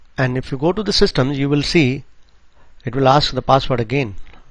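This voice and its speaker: Here a man with medium pitch and vocal fry talks at a fairly quick pace with ordinary pitch variation. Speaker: IT trainer. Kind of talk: tutorial. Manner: hesitant, many fillers.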